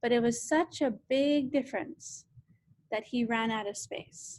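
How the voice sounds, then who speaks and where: High-pitched for a woman, her voice moves through ordinary pitch variation. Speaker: science teacher. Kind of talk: lecture.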